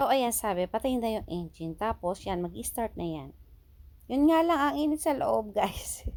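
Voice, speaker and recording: An animated woman at a fairly high pitch, with very wide pitch swings and a moderate pace. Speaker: vlogger. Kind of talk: casual vlog narration. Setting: in a car at a car wash.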